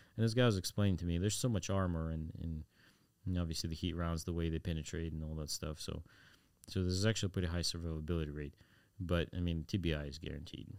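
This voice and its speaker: Very fast and very deep, a man speaks with fairly even intonation on a very clean recording with a silent background. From Ukraine. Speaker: war volunteer. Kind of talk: casual interview.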